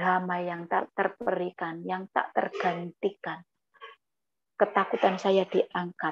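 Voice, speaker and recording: Against a quiet background, a woman speaks very slowly at a medium pitch with flat, monotone intonation. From East Java, Batu Malang; East Java. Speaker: guest. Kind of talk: testimony. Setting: video call. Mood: emotional, earnest storytelling. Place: home room. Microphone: earbuds.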